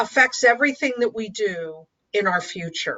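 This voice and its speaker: Delivered at a fairly slow pace, the clip features an unremarkable speaking voice. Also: woman. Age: 60s. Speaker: dating and life coach. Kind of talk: interview.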